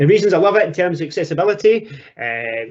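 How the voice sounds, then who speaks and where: Here a man speaks with a strong Scottish accent. His intonation is lively. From Scotland. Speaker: teacher and education technology presenter. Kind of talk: webinar presentation. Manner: casual, repetitive with fillers.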